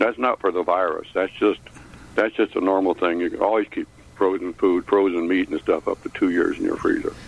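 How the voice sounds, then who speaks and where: The sound is dry and close with no echo as a man speaks at a fairly quick pace. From Chicago.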